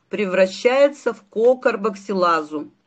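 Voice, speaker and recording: A woman talks in an ordinary speaking voice at a fairly slow pace. Her fairly high pitch moves with lively intonation. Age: 60s. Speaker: doctor. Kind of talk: sales pitch.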